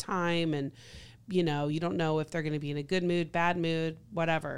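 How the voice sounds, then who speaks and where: Her voice is that of a woman with a fairly low pitch. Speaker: podcast host. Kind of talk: casual chat. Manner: animated.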